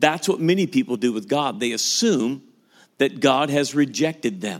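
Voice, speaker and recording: A man's fairly high-pitched voice with lively intonation, an ordinary speaking voice, in a very clean recording with a silent background. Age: 50s. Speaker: pastor. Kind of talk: sermon.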